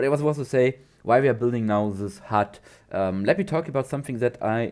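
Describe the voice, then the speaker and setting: A man with a non-native accent speaks at a moderate pace, his pitch varying in an ordinary way. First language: not English. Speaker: gaming YouTuber. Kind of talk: gameplay commentary. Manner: halting, many fillers and repeats.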